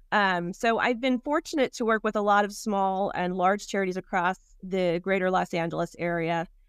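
A woman with an unremarkable speaking voice talks at a moderate pace with hardly any pauses, her pitch medium and its variation ordinary. The sound is dry and close, with no echo. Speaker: foundation executive director. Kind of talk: casual interview. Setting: video call from art gallery office.

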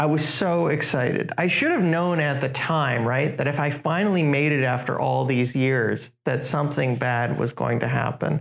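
A man's unremarkable speaking voice, fairly high in pitch, at a moderate pace with hardly any pauses, very even loudness and fairly even intonation. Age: 30s. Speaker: aviation business journalist. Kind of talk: casual interview.

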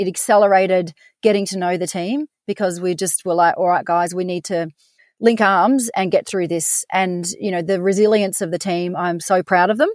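In an Australian accent, a woman speaks at a medium pitch and moderate pace with fairly even intonation, recorded very cleanly against a silent background with a dry, close sound and no echo. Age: 40s. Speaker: business managing director. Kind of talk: interview.

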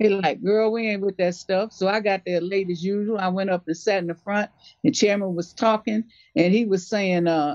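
A woman's medium-pitched voice at a fairly quick pace, in a dry, close sound with no echo. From West Side of Chicago. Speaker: activist. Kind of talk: interview testimony.

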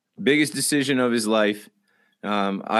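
Very clean and set against a silent background, this recording features a man with an unremarkable speaking voice. He sits at a medium pitch with ordinary pitch variation. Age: 30s. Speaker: sports podcast co-host. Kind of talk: casual chat.

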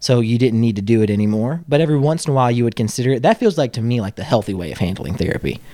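A man's dark, mellow tone at a very fast pace, with hardly any pauses and ordinary pitch variation. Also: medium pitch for a man. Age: 30s. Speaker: podcast host. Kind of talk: casual chat.

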